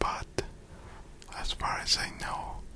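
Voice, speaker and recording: A man whispers over noticeable background noise. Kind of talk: ASMR whispered let's-play game. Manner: whispered, close, cozy.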